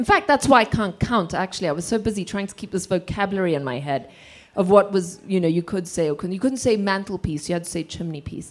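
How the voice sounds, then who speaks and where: Very clean recording, silent background. A woman with a medium pitch speaks at a very fast pace with lively intonation. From Zimbabwe (Rhodesia). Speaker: author. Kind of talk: audience Q&A. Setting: stage with audience, roving mic.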